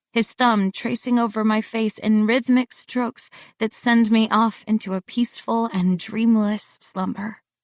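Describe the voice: Here we have plain reading aloud.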